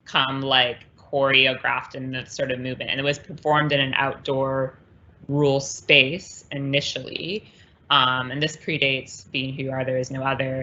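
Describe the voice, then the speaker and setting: Monotone, flat intonation at a moderate pace. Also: woman, very deep, low pitch for a woman. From US-Canada border. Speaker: performance artist. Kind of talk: conversation. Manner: hesitant, many fillers.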